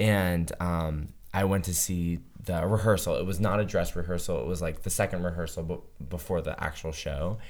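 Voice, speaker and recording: A man's very deep, low pitch carries fairly even intonation. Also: moderate pace. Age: 30s. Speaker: guest storyteller. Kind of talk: storytelling, casual chat.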